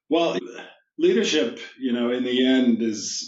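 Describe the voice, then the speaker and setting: Audible room echo fills the recording. A man talks with an American accent. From New York. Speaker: business executive. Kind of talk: podcast interview. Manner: hesitant, many fillers.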